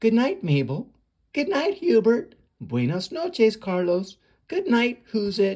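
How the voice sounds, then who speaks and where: A man performs a put-on character voice at a high pitch. His tone is warm and gentle, and his pace is fairly slow. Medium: read story. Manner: warm, gentle.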